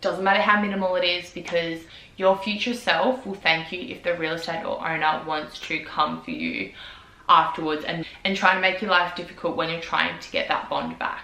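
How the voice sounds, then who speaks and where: A woman with an Australian accent speaks at a moderate pace in a fairly low pitch with ordinary pitch variation. Her loudness swings widely, and there is noticeable background noise. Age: 20s. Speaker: vlogger. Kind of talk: casual talk to camera.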